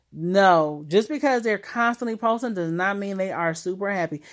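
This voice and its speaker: On a very clean recording with a silent background, a woman of medium pitch speaks in an animated tone with lively intonation. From Ohio, US Midwest. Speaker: podcast host. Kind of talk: casual monologue.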